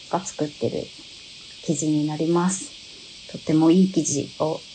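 With music in the background, a woman speaks in fairly even intonation. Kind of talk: live stream product presentation. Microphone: phone near.

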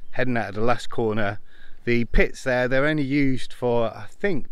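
Over a quiet background, a man talks at a moderate pace with ordinary pitch variation, and the sound is dry with no echo. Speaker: amateur racing driver vlogger. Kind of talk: casual vlog commentary, guided tour. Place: open country. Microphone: phone near.

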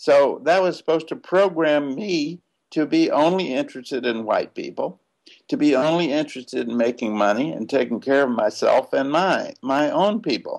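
Speaking at a moderate pace in a Southern US accent, a man uses lively intonation in a fairly high voice over a quiet background. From US South. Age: 70s. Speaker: civil rights activist. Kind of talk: interview. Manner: halting. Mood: animated, smiling, reflective. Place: home room. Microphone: webcam.

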